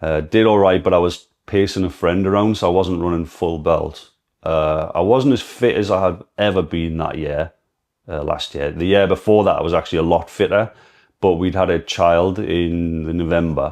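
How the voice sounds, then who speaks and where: Speaking in a Geordie accent, a man with a very deep, low pitch keeps a moderate pace and fairly even intonation. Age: 30s. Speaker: amateur runner and brain cancer patient. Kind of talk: personal testimony vlog. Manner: halting.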